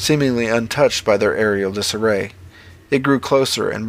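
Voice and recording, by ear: The pitch moves in an ordinary way. The voice reads aloud naturally.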